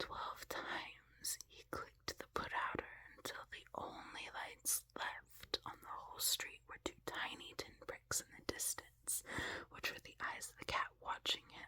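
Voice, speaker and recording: Whispering at a fairly slow pace, a woman's voice shows big swings in loudness over noticeable background noise. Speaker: ASMR creator. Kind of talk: reading aloud.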